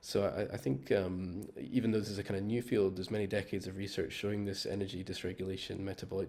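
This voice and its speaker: With a Scottish accent, a man speaks at a very fast pace in a fairly low pitch with fairly even intonation. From Scotland. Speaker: metabolic psychiatry researcher. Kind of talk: panel discussion. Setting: video call. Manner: hesitant, with fillers.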